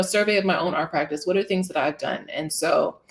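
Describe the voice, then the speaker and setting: At a fairly quick pace, a woman speaks in a medium pitch. Her pitch variation is ordinary. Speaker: artist and researcher giving a talk. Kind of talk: conference talk. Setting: stage with audience. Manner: fast.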